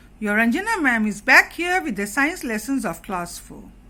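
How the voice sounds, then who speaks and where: Her tone bright and sharp, a woman speaks at a fairly high pitch with very wide pitch swings. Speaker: schoolteacher. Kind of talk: lesson revision.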